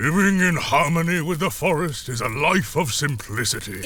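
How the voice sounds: A man's cartoonish character voice, fairly high in pitch, at a moderate pace amid noticeable background noise.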